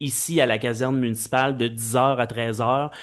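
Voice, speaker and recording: A man talks at a moderate pace in a medium pitch. His intonation stays fairly even against a quiet background. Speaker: mayor chairing council meeting. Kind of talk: municipal council meeting. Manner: loud. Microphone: too loud when close to mic.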